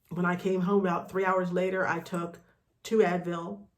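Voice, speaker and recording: Room echo is audible as a woman talks at a fairly quick pace. Her intonation is flat and monotone. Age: 50s. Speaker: vlogger. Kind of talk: personal video diary. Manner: casual, with frequent fillers.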